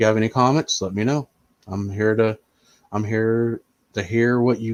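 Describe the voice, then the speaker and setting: Fairly even intonation marks this man's speech, which moves at a moderate speed. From US Midwest, Indiana. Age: 40s. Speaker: streamer. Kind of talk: casual live-stream chat.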